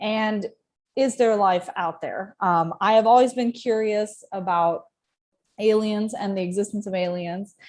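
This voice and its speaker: A woman speaks in a plain, everyday voice with an American accent. Her pace is fairly slow and her intonation fairly even, on a very clean recording with a silent background. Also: fairly high pitch for a woman. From US South, Georgia. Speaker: university student and former space agency intern. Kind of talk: interview.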